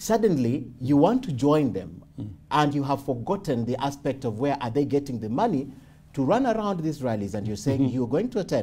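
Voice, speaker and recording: A man speaks at a fairly quick pace in a dark, mellow tone. His somewhat breathy voice moves through very wide pitch swings. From Kenya. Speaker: TV news interviewer. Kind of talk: interview. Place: home room.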